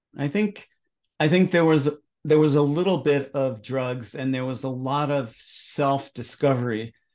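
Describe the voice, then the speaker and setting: An ordinary speaking voice goes at a fairly slow pace with ordinary pitch variation against a quiet background. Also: man, fairly high pitch for a man. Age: 60s. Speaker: astrologer and author. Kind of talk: casual interview conversation.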